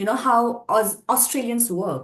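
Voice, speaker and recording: At a moderate pace, a woman with an Indian accent speaks with ordinary pitch variation. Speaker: pageant contestant. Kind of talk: interview.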